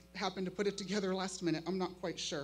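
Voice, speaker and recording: Music sits in the background as a woman speaks with an American accent. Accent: Makah reservation accent, strength unsure. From Makah reservation, Neah Bay, Washington. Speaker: high school teacher. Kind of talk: keynote speech.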